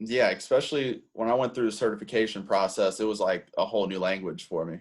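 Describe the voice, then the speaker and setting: On a very clean recording with a silent background, a man talks at a very fast pace in a fairly low pitch with ordinary pitch variation. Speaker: podcast host and basketball trainer. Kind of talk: interview. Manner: halting, fumbles words.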